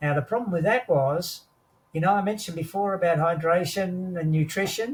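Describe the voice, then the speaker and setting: With an Australian accent, a man speaks at a high pitch and a moderate pace. His pitch variation is ordinary. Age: 80s+. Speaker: war veteran. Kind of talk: interview answer.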